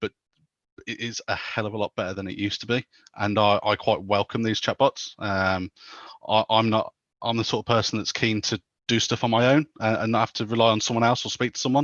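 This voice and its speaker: Fairly quick, flat, monotone delivery from a man with a medium pitch and a Birmingham accent. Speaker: tech panellist. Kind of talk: panel discussion. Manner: hesitant with repetitions.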